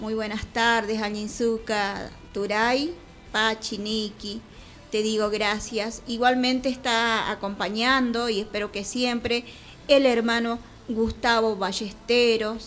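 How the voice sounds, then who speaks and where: A woman speaks very slowly in an Andean accent. Her fairly high voice is monotone, with flat intonation. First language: Quechua (speaking Spanish). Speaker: radio host. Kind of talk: radio show, greetings.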